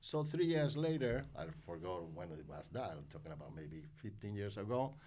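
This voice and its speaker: Audible room echo surrounds a man speaking at a fairly low pitch with very wide pitch swings. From Spain (Málaga). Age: 60s. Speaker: wine importer. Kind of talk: interview. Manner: halting.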